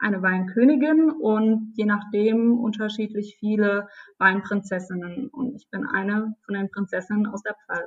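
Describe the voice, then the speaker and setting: A somewhat breathy woman at a fairly slow pace. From Palatinate, Germany (Neustadt). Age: 20s. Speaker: wine queen, winemaker's daughter. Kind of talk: interview. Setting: video call.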